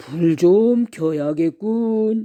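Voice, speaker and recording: A put-on character voice at a middle pitch. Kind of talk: bedtime story. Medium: read story.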